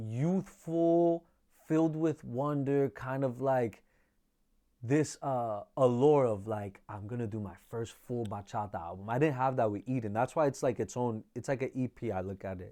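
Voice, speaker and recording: A man's dark, mellow voice at medium pitch, with lively intonation, a fairly slow pace and a very clean recording over a silent background. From New York City (Washington Heights), Dominican community. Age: 20s. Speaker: bachata singer and songwriter. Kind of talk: casual interview. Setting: studio.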